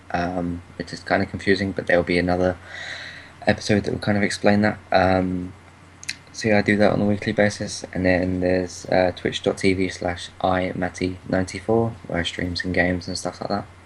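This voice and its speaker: Over noticeable background noise, a man speaks in a British accent at a fairly quick pace. His very deep, low voice stays monotone and flat. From UK. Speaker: podcaster and Twitch streamer. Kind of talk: casual chat.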